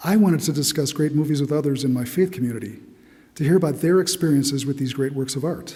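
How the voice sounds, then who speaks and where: The voice is dark, mellow and somewhat breathy, moving at a very fast pace. Audible room echo surrounds it. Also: man. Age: 60s. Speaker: church member giving testimony. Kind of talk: testimony. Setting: church.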